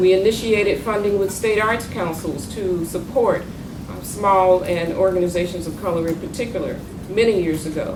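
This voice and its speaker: Audible room echo and noticeable background noise surround the recording. A woman with a Southern US accent speaks at a moderate pace with fairly even intonation. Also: medium pitch for a woman. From North Carolina, US South. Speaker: arts funding consultant, former federal arts official. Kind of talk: panel talk.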